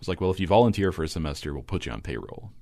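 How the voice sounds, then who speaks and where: A man with an American accent and vocal fry speaks with ordinary pitch variation. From Kentucky, small manufacturing town. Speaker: composer and classical radio announcer. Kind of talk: podcast interview.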